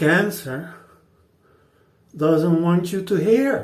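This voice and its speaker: A man's fairly high voice with a non-native accent, very slow pace and ordinary pitch variation in audible room echo. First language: not English. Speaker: shaving video host. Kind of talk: casual talk to camera during a shave. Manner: halting, many fillers and repeats.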